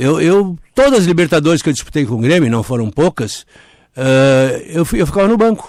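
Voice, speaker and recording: Very wide pitch swings from a man speaking at a fairly quick pace, in a very clean recording with a silent background. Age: 70s. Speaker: former football club director. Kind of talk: interview. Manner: halting.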